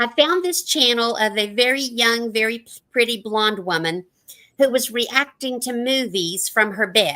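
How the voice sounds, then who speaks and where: A woman's bright, sharp tone at a fairly high pitch and fairly slow pace, with big swings in loudness. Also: lively intonation. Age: 60s. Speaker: retiree YouTuber. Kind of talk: casual group chat.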